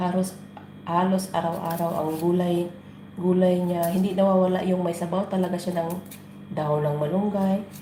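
A woman speaks at a moderate pace in a medium pitch, with audible room echo and noticeable background noise. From Philippines, Negros. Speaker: vlogger. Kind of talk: casual cooking vlog. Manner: casual, chatty.

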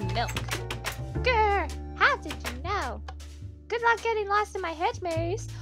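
A put-on character voice cackles at a very slow pace over clear music in the background. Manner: evil, menacing, taunting.

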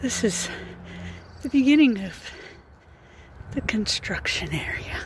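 A woman speaks slowly at a fairly high pitch. Her intonation is lively.

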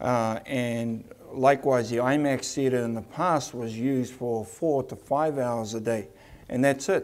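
A man with a New Zealand accent at a fairly slow pace. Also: medium pitch for a man, fairly even intonation. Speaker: attraction CEO; presenter. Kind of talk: conference presentation. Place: hall.

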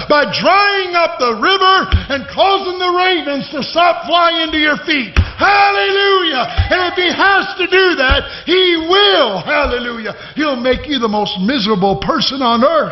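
This man's voice is loud and extremely high, with very wide pitch swings. He speaks at a fairly slow pace. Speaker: preacher. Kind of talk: sermon. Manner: fervent, exhortative, loud. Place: church. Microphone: podium.

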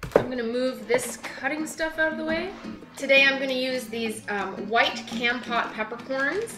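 Clear music plays in the background as the voice moves at a moderate pace with ordinary pitch variation. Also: woman. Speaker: web cooking host. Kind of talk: cooking tutorial. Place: kitchen. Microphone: camera far.

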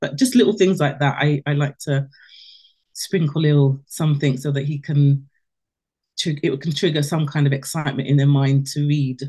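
Over a quiet background, a woman speaks at a moderate pace with a very deep, low pitch, a somewhat breathy, dark, mellow tone and fairly even intonation. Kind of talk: testimony, casual storytelling. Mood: warm, cheerful. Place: home room. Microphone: video call.

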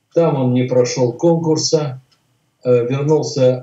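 Amid audible room echo, a man speaks at a very slow pace in monotone, flat intonation. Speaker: remote interview guest. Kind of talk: interview answer. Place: home room. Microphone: video call.

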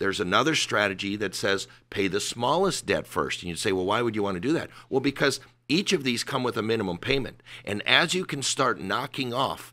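A man's bright, sharp tone with lively intonation at a fairly quick pace. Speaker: guest. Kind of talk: interview answer. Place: studio. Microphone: studio mic.

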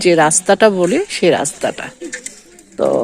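A woman with a Bangladeshi accent speaks at a medium pitch with ordinary pitch variation, over noticeable background noise. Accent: Bangladeshi Bengali. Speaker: vlogger. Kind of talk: casual vlog narration. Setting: outdoors in a village. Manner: halting.

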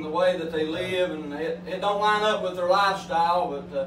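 With audible room echo and light background noise, a man speaks at a moderate pace in a high pitch with fairly even intonation. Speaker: coal miner lay preacher. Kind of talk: sermon.

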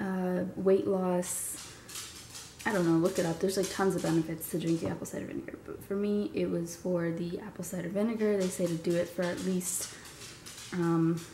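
At a moderate pace, a woman with fairly low pitch speaks in a monotone, flat intonation, amid noticeable background noise and audible room echo. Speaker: fitness vlogger. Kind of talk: casual vlog talk. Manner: casual, filler-heavy.

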